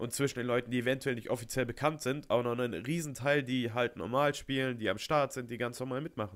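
A man speaks at a very fast pace in a medium pitch. His intonation stays fairly even. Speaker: podcast host. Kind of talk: interview.

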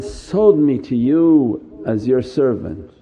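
Over noticeable background noise, a man speaks very slowly in an intense tone with lively intonation. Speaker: Sufi teacher. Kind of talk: sermon; fervent prayer, a pleading supplication spoken to the Prophet, with humble self-abasement. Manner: fervent, pleading, devotional, intense, urgent supplication with emotion.

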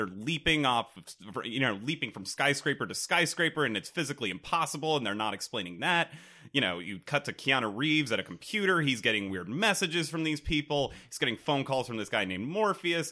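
A man's bright, sharp voice with vocal fry, very wide pitch swings and a fairly quick pace. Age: 20s. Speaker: podcast guest. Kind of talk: casual chat. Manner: halting.

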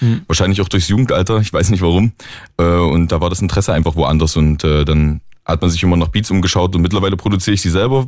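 A man's very deep, low voice at a very fast pace, with ordinary pitch variation and very even loudness. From Saxony, near Leipzig. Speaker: independent rapper and music producer. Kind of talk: radio interview.

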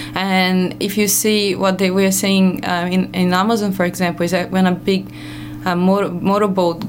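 A woman speaks with a strong non-native accent. Noticeable background noise runs underneath. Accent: heavy foreign. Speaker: radio guest, ecologist. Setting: radio studio.

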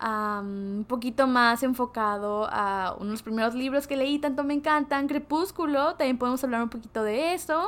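A high-pitched woman's voice with ordinary pitch variation and hardly any pauses, on a very clean recording with a silent background. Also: moderate pace. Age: 20s. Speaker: podcaster / content creator. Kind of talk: casual vlog monologue. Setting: home bedroom recording.

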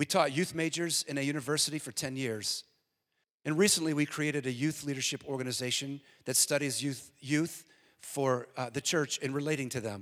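A man with an American accent has a normal speaking voice at a fairly high pitch. He moves at a fairly quick pace with fairly even intonation. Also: very clean recording, silent background. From US. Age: 50s. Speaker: guest preacher. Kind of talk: sermon. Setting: church.

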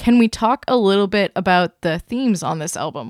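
A normal speaking voice at a moderate pace with ordinary pitch variation comes through a dry, close sound with no echo and a very clean recording with a silent background. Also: woman. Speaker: podcast editor. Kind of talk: moderated podcast discussion.

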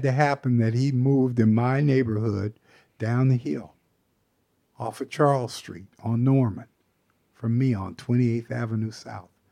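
This man has an American accent and medium pitch. His tone is dark and mellow. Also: very clean recording, silent background. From US Pacific Northwest, Seattle. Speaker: jazz saxophonist. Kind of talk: interview.

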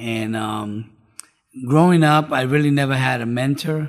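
A man talks at a fairly slow pace in an American accent. It is an ordinary speaking voice with fairly even intonation. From New York City (Bronx). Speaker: rehab program director. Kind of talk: testimony.

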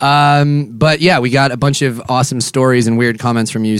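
A man talks fairly quickly in an ordinary speaking voice. His pitch is medium and his intonation fairly even. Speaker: podcast host. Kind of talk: casual comedic banter. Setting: bus lounge, recording.

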